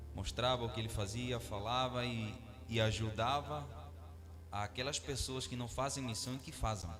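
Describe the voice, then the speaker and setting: In a room with audible echo, a man with a Venezuelan accent talks at a moderate pace, medium pitch and ordinary pitch variation. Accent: non-native Portuguese, Venezuelan. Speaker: missionary preacher. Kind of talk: sermon.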